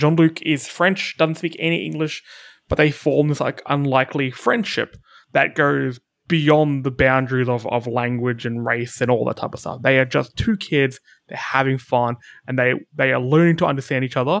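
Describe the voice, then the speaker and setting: A man with an Australian accent at medium pitch, moderate pace and ordinary pitch variation, on a very clean recording with a silent background. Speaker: podcast host. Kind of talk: casual chat. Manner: mumbles and stutters.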